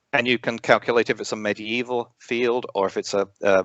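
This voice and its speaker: Speaking with an English accent, a man uses a medium pitch and fairly even intonation at a moderate pace. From England. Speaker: astronomy educator, former science teacher. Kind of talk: interview. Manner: halting, many fillers.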